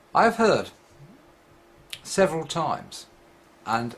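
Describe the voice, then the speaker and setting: A man mumbling at a fairly slow pace, with very wide pitch swings. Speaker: atheist video blogger. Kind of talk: vlog monologue.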